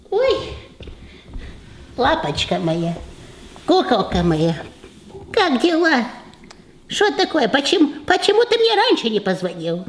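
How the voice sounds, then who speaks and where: Speaking at a fairly slow pace, a man uses an extremely high pitch with very wide pitch swings. He pauses often and at length. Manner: doting, bossy, excitable.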